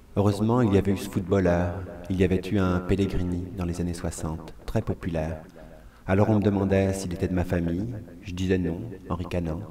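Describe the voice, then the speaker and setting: With audible room echo, a man with a very deep, low voice speaks at a moderate pace and with fairly even intonation. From France (Vendée). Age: 30s. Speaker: performer, monologue artist. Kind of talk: scripted monologue.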